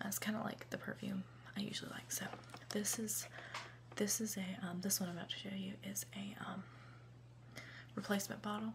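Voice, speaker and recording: The speaker is soft-spoken and talks at a fairly quick pace, with long, frequent pauses. Noticeable background noise runs underneath. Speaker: college student. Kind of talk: ASMR unboxing, casual chatting.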